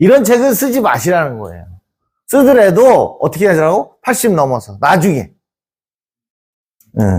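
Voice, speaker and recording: An animated man speaking at a fairly slow pace with very wide pitch swings, in a very clean recording with a silent background. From rural Korea. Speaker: lecturer. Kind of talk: lecture.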